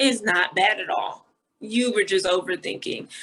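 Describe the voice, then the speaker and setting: This woman's voice is fairly high-pitched, with a bright, sharp tone. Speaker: social media personality and college athlete. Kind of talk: casual chat. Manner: soft-spoken.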